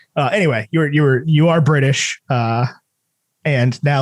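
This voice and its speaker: In an American accent, a man with a fairly high pitch speaks with ordinary pitch variation. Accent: slight New York accent at times. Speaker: podcast host. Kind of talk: casual chat.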